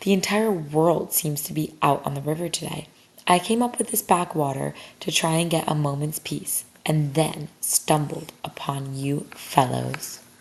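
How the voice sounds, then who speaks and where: Putting on a character voice, a woman speaks in a raspy, very deep, low register at a moderate pace with ordinary pitch variation. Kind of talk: bedtime story. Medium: read story. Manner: hearty, good-humoured.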